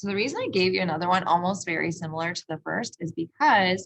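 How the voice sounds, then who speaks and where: A woman talks at a moderate pace with a fairly low pitch. Vocal fry runs through her voice. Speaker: math teacher. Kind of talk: lecture.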